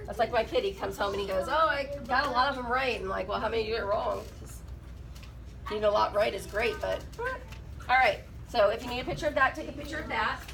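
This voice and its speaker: Speech at a very fast pace plays over noticeable background noise. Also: woman. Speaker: math teacher. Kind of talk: classroom lesson.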